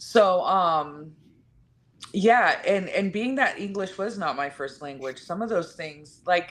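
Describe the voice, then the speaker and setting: Speaking with a Spanish accent, a woman talks at a very slow pace and medium pitch, with lively intonation and big swings in loudness. The background is quiet. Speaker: podcast co-host. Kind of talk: casual chat.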